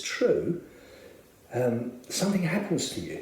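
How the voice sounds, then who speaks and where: A man with a South London accent at a fairly slow pace, noticeable background noise and audible room echo. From South London, Bermondsey. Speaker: church member. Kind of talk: testimony. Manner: hesitant, many filler words.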